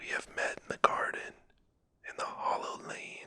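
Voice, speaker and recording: A calm, whispering voice at a very slow pace. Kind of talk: sleep story. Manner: whispered, calm, soft-spoken.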